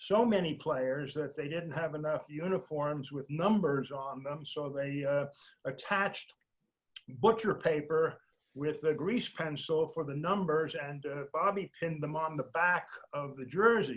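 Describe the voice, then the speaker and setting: A man talks at a fairly slow pace in a fairly high pitch. His voice is somewhat breathy, with ordinary pitch variation. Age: 70s. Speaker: retired baseball executive. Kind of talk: interview storytelling. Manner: hesitant, many filler words.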